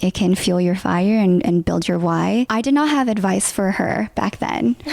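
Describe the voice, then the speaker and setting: Noticeable background noise sits behind a woman with a Californian accent. Her medium-pitched voice has lively intonation, very even loudness and a moderate pace. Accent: Californian American English. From Southern California, Los Angeles San Gabriel Valley. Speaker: content creator and tech product lead. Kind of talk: podcast interview, personal storytelling. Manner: animated, acts out dialogue.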